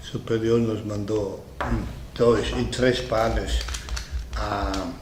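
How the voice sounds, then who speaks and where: A man's very slow speech with audible room echo and noticeable background noise. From Italy, Milan. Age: 70s. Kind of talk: interview.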